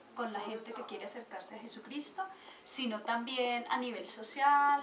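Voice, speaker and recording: A woman speaks at a fairly quick pace in a high pitch with ordinary pitch variation. Noticeable background noise and audible room echo surround her voice. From Colombia, Manizales. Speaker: church volunteer and translator. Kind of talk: interview.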